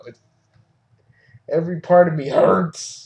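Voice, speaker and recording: In a raspy put-on character voice, a man speaks at a fairly slow pace with a high pitch. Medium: audio drama.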